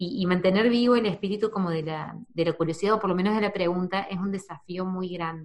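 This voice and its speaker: A woman talks at a very fast pace with hardly any pauses and fairly even intonation. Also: medium pitch for a woman. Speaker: podcast host. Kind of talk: casual interview.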